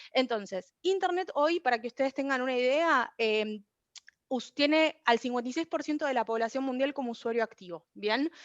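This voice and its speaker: A woman's high-pitched voice with lively intonation. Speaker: researcher presenting a paper. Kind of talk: academic conference presentation. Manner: fast.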